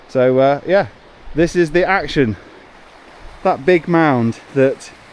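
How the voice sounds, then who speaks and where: Amid noticeable background noise, a man speaks at a very slow pace with very even loudness. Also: fairly high pitch for a man, ordinary pitch variation. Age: 40s. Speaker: homestead renovation vlogger. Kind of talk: casual vlog chat.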